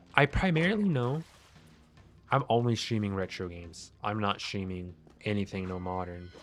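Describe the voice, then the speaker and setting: A man speaks at a moderate pace with a fairly low pitch and lively intonation. Long, frequent pauses break up his speech, with music in the background. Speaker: video game streamer. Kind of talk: casual chat. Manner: loud.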